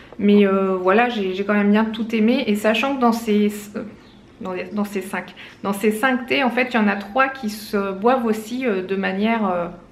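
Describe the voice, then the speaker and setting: Amid noticeable background noise and audible room echo, a woman speaks fairly slowly at a fairly high pitch with fairly even intonation. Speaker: lifestyle vlogger. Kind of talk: casual vlog. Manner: hesitant, many fillers.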